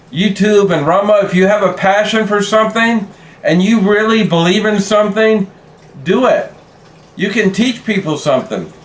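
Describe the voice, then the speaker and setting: Through noticeable background noise, a man with a high voice speaks at a moderate pace with fairly even intonation and very even loudness. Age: 60s. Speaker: YouTube creator. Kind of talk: casual vlog talk. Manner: halting, with fillers and repeats.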